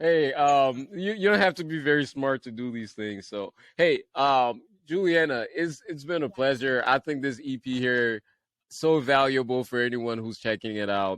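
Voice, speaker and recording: A man's medium-pitched voice with a Liberian accent, lively intonation and a moderate pace, dry and close with no echo. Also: quiet background. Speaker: podcast host. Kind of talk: casual interview chat.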